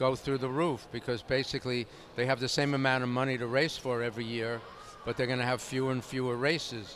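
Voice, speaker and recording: Flat, monotone intonation marks this man's medium-pitched voice. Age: 70s. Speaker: racetrack owner and horseman. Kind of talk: interview.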